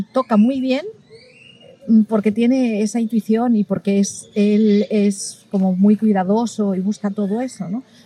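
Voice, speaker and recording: With noticeable background noise behind her, a woman speaks very slowly at a fairly high pitch and with fairly even intonation. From Spain. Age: middle-aged. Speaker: ethnomusicologist and violin teacher. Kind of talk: interview. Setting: recorded at a music festival.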